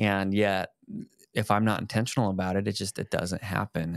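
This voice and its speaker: Against a quiet background, a man speaks at a moderate pace in a fairly low voice, the sound dry with no echo. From Colorado. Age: 30s. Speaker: fitness and faith video host; faith video host. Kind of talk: casual chat. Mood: earnest, reflective. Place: home room. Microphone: studio mic.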